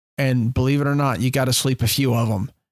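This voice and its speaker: A man speaks in a normal speaking voice at medium pitch and a fairly quick pace. His intonation is fairly even, and the sound is dry and close with no echo. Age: 40s. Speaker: fishing guide and podcast host. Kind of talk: solo podcast monologue. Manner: casual with many fillers.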